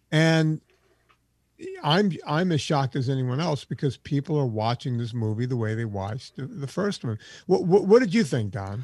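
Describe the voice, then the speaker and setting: Against a quiet background, a man speaks at a fairly high pitch with lively intonation and a somewhat breathy sound. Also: moderate pace. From Louisiana. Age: 40s. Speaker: documentary filmmaker and low-carb author. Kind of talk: interview.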